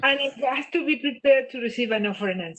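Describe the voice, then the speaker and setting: A woman speaks in a high voice with lively intonation and a strong non-native accent. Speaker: business trainer. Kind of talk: webinar Q&A. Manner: animated.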